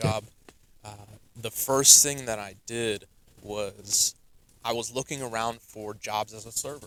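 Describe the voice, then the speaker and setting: A man with a bright, sharp tone talks fairly slowly, with long, frequent pauses and big swings in loudness. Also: medium pitch for a man, fairly even intonation. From US Northeast, New Jersey. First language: Russian. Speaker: entrepreneur, sales. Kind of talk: podcast interview.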